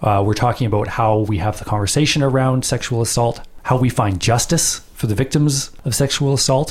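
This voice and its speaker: A man's somewhat breathy voice at medium pitch, with ordinary pitch variation. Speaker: podcast host interviewer. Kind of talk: interview discussion.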